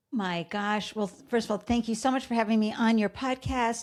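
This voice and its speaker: Woman with a slight Boston accent, fairly high in pitch with ordinary variation, at a moderate pace, on a very clean recording with a silent background. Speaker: entrepreneur and podcaster. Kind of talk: interview. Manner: animated.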